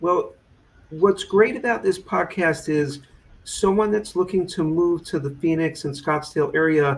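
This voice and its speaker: This voice has an American accent and a fairly slow pace. Its pitch variation is ordinary. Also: man. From New York. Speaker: podcast host. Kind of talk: interview.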